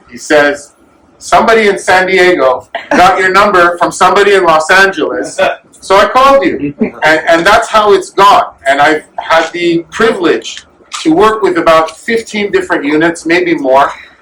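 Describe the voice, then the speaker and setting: A man with a high pitch uses a raised, projected voice and lively intonation. He speaks at a moderate pace over noticeable background noise. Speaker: volunteer supplying soldiers. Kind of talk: speech at fundraising event. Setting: event with audience. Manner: loud.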